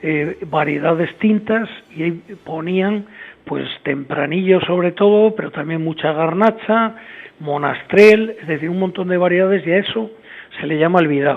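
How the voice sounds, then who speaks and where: Noticeable background noise sits behind this recording. The man speaking has a high pitch. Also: ordinary pitch variation. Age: 60s. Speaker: winemaker. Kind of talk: interview. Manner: hesitant, many fillers.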